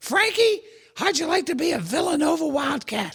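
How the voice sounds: A squeaky, high-pitched put-on character voice. It moves at a moderate pace.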